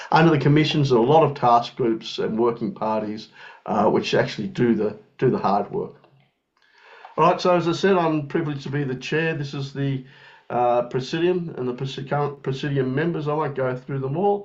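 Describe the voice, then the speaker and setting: The speaker has an Australian accent and talks at a fairly quick pace. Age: young. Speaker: president of international engineering federation. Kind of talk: webinar presentation. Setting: online webinar. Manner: halting, many fillers.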